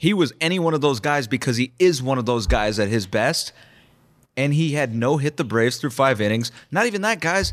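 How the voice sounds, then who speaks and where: A normal speaking voice at a fairly quick pace with lively intonation, on a very clean recording with a silent background. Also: man, medium pitch for a man. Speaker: sports beat reporter. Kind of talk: casual sports analysis.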